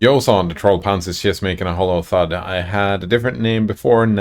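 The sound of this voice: A reading voice that sounds unforced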